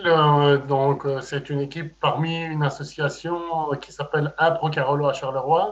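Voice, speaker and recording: A man with a plain, everyday voice, fairly slow pace and ordinary pitch variation. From Belgium, Liège. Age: 40s. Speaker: amateur improv actor. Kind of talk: casual chat.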